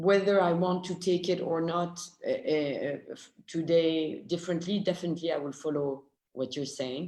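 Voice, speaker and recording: The speaker has a strong French accent. The pace is moderate. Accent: French accent, strong now. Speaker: film discussion panelist. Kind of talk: online panel discussion. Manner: halting.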